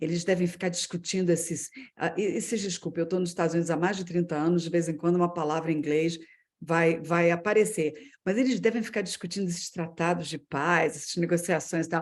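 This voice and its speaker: A woman talks at a fairly quick pace with fairly even intonation in a normal speaking voice. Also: fairly low pitch for a woman. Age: 50s. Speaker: business executive. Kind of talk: personal career story in a webinar talk.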